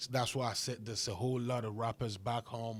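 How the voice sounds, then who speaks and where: A man's somewhat breathy voice at a medium pitch and moderate pace, monotone with flat intonation, on a very clean recording with a silent background. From Ghana. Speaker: rapper. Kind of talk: podcast interview.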